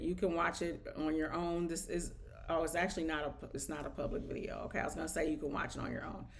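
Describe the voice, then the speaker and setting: Audible room echo surrounds a woman talking at a very fast pace. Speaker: nail technician and online business coach. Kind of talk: live stream product demo. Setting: live stream via OBS. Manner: casual, filler-heavy.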